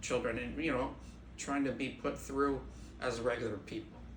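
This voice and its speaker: A man speaks at a moderate pace. Audible room echo can be heard in the recording. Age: 60s. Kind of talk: interview.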